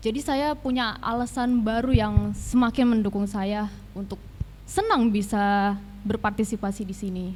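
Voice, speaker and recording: A woman speaks with a fairly high pitch and a somewhat breathy voice. Her pace is moderate and her intonation fairly even. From Tangerang Selatan, Indonesia. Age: 20s. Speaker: law student, teaching intern. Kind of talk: interview.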